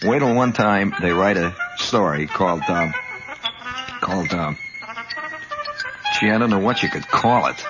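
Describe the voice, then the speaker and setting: A man speaking at a moderate pace, with music in the background. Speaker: radio host. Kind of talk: radio monologue storytelling. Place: studio. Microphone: old recording.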